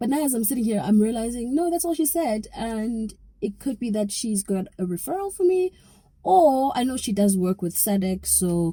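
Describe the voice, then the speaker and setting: The tone is dark and mellow, somewhat breathy, with very wide swings in pitch. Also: woman. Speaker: YouTuber. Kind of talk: vlog. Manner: whispering.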